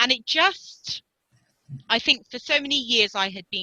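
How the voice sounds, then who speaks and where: A woman with a British accent, bright and sharp in tone, at a fairly slow pace, in a dry, close sound with no echo. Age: 40s. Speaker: ultra runner and activist. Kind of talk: interview answer.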